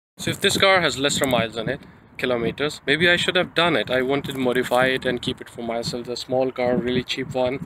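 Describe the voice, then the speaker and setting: There is noticeable background noise as a man talks at a very fast pace with ordinary pitch variation, in a dry sound with no echo. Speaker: car owner vlogger. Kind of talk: casual vlog chat. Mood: disappointed, resigned. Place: street. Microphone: phone near.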